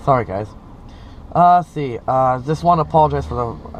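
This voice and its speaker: Speaking at a fairly quick pace, a man's voice makes very wide pitch swings. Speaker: electric vehicle vlogger. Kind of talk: casual driving vlog. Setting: in a car. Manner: hesitant, many fillers.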